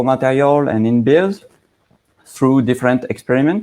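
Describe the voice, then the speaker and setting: Speaking at a moderate pace, a man with a strong French accent uses a medium pitch and ordinary pitch variation. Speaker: aroma chemistry expert, company founder. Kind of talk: technical presentation. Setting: live online broadcast.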